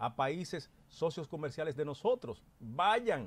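Lively intonation in a Dominican accent. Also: man. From Dominican Republic, Constanza; Dominican Republic. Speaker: political commentator. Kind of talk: panel commentary. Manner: emphatic, oratorical. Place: studio. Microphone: studio mic.

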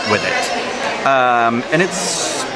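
The speaker is a man. Behind him there is crowd noise. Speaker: food vlogger. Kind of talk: casual vlog chat. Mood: relaxed, mildly unimpressed. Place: cafe.

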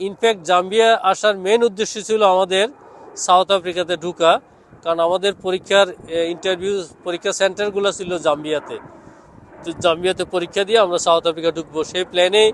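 High pitch from a man, delivered with fairly even intonation. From Bangladesh, Chittagong (Sitakunda). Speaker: doctor. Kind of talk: interview.

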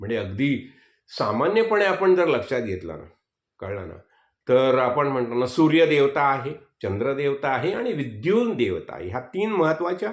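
A man talks in a fairly high voice. His pitch swings very widely. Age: 70s. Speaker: spiritual teacher. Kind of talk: religious discourse.

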